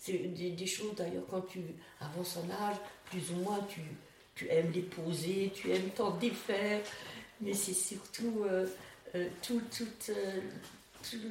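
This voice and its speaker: A woman speaks at a very slow pace with ordinary pitch variation. Audible room echo and noticeable background noise come through. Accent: Alsatian. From Alsace, France. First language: Alsatian (speaking French). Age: 80s+. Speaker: elderly storyteller sharing memories. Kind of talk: personal reminiscence interview. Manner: halting, with many hesitations and repetitions.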